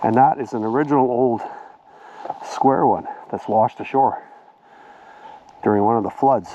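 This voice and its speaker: Over noticeable background noise, a man with a fairly high pitch and a Canadian accent speaks at a moderate pace in a relaxed tone. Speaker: vlogger walking his dogs; military veteran. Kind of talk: casual vlog narration. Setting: outdoors on a snowy winter trail. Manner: relaxed, with many filler uhs.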